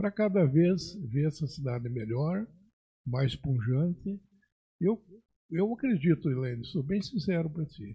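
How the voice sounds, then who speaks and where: Taking long, frequent pauses at a fairly slow pace, a man with a fairly high pitch and a dark, mellow tone speaks with lively intonation. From Rio Grande do Sul, Brazil. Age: 70s. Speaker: agronomist and pioneer settler. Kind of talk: podcast interview.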